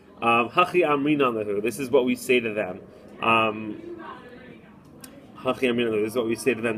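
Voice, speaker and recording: A man talks at a fairly quick pace and a medium pitch. Background noise is noticeable. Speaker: rabbi and Talmud teacher. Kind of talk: recorded lesson. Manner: fast.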